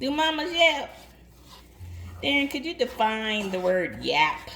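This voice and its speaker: A woman with a Southern US accent speaks very slowly in a raised, projected voice and a playful tone, her high pitch making very wide swings over noticeable background noise. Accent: Southern, country. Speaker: home cook filming for an audience. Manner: chatty, playful.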